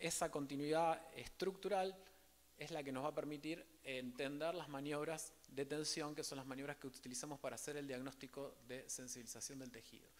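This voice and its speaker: A fairly quick-paced male voice. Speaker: rehabilitation physician, conference speaker. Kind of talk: lecture. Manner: fast.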